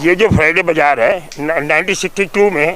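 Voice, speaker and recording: His intonation is lively. The man uses a raised, projected voice. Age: 70s. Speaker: social activist. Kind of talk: interview. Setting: outdoors. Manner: animated.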